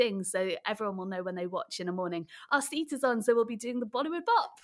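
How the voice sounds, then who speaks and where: In a Welsh accent, a woman speaks at a fairly high pitch with an animated tone on a very clean recording with a silent background. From rural Wales. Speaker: children's TV presenter and theatre director. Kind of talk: casual interview.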